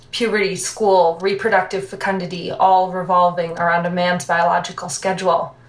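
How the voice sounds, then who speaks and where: There is audible room echo as a woman speaks at a moderate pace. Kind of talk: scripted monologue. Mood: wry, languid, confiding. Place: bathroom.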